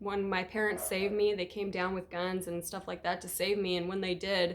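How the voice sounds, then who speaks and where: Noticeable background noise runs under a woman's voice. She speaks fairly quickly at medium pitch in a flat monotone. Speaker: youtuber telling personal story. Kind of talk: storytime testimony. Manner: casual, filler-heavy.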